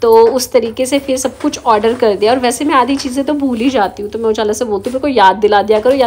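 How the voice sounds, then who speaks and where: A high-pitched woman's voice at a fairly quick pace, with ordinary pitch variation and noticeable background noise. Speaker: homemaker vlogger. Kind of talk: vlog voice-over with recipe tutorial. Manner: casual, chatty.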